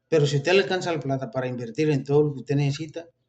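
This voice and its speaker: A man's fairly high, somewhat breathy voice at a very fast pace, with ordinary pitch variation. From Colombia. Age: 60s. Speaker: religious video preacher. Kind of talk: informal religious talk with political commentary.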